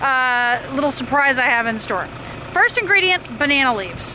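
A woman uses a raised, projected voice in a dry sound with no echo over noticeable background noise. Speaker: vlogger. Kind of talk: casual vlog chat. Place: open country. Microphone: phone near.

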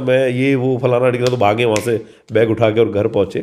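A man at a moderate pace over a quiet background. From western Uttar Pradesh, Dadri area village; Uttar Pradesh, India. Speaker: actor. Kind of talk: interview. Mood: relaxed, amused storytelling. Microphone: handheld.

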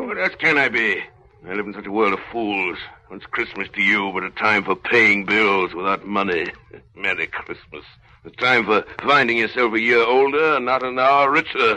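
A man uses a put-on character voice that sounds gruff. It sits at a medium pitch and moves at a moderate pace. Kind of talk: 1930s radio drama acting. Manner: gruff, scornful, barking.

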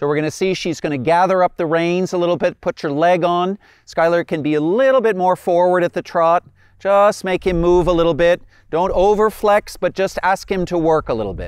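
Against a quiet background with a dry sound and no echo, a man with a high pitch speaks at a fairly quick pace. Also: fairly even intonation. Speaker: riding instructor. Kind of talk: instructional commentary. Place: open country. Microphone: lapel.

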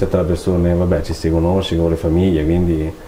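A man is speaking over light background noise. Room echo is audible. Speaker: clothing shop owner. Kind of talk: casual interview. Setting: studio. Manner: halting, hesitant. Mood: relaxed, smiling, animated. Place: studio.

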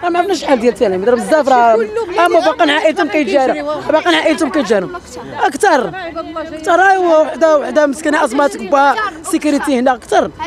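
Crowd noise fills the background. The speech moves at a very fast pace. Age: 60s. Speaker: local resident. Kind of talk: street interview.

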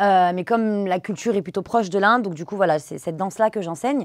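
A woman speaks very fast with ordinary pitch variation. The sound is dry with no echo, over a quiet background. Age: 30s. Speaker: dance teacher and social media creator; dance teacher, social media creator. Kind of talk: interview. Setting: studio. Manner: halting, many fillers. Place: studio.

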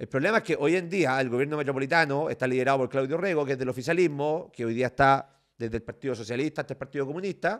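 A man's fairly high voice with ordinary pitch variation, very fast pace, quiet background. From Chile, Valparaíso region. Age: 30s. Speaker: lawyer and political candidate; lawyer, candidate. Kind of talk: interview. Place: home room. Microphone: studio mic.

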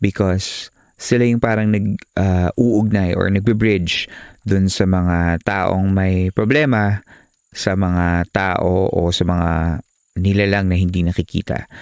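Very deep and low, a man's voice moves at a very slow pace with fairly even intonation and very even loudness. The recording is very clean and dry, close with no echo, over a silent background. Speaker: podcast host and narrator. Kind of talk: horror story narration read aloud, with host intros and comments. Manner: hushed, measured, suspenseful.

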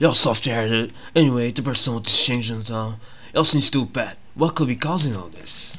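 At a moderate pace, a man talks with a bright, sharp tone, medium pitch and ordinary pitch variation.

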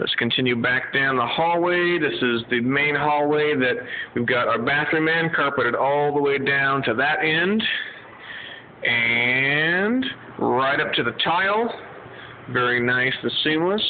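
Over light background noise, a man speaks at a fairly slow pace with ordinary pitch variation and very even loudness. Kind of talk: casual walk-through tour. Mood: pleased. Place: hall. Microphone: phone near.

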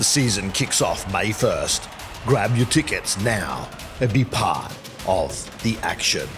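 A man speaks at a very slow pace with a medium-pitched voice. Music plays in the background. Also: ordinary pitch variation. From Australia. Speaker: voice actor. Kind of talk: sports promotion commercial read.

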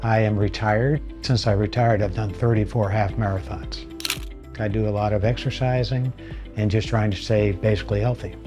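Over clear background music, a man speaks at a fairly quick pace with ordinary pitch variation. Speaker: retired marathon runner. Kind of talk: patient testimonial interview. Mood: upbeat, grateful. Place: studio. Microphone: lapel.

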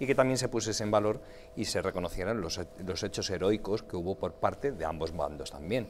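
Over light background noise, a man speaks fairly quickly at a fairly low pitch with ordinary pitch variation. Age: 30s. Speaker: politician. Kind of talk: TV panel debate. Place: studio.

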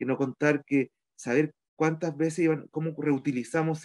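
Against a quiet background, a man with a Chilean accent speaks at a moderate pace with fairly even intonation. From Chile, Petorca (Valparaíso region); Valparaíso region, Chile. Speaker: community leader and local councillor. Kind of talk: interview testimony. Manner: halting, many fillers and repetitions. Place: home room. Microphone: video call.

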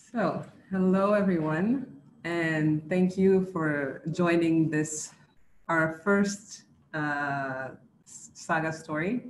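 A woman speaks at a very slow pace. Light background noise and audible room echo surround her voice. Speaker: organizer of women's network. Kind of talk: webinar welcome. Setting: video call. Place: office. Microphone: webcam.

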